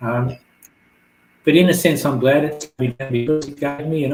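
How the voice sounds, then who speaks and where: A man with an Australian accent talks at a fairly quick pace. His voice is somewhat breathy, and his intonation stays fairly even. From Australia (New South Wales). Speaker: author. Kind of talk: interview. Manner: soft, low volume.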